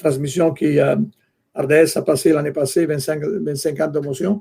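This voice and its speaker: A man with an Italian accent speaks very slowly in a fairly high pitch with a dark, mellow tone. His intonation is monotone and flat. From Italy. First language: Italian (speaking French). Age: 60s. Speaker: soccer executive and longtime fan club leader. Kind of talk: podcast interview. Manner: halting, many hesitations.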